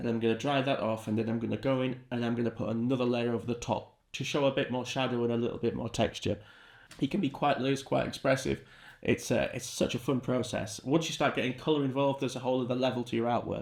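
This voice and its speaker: Talking at a very fast pace, a man with a British accent and medium pitch comes through on a very clean recording with a silent background. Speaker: art teacher. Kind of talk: tutorial. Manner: animated.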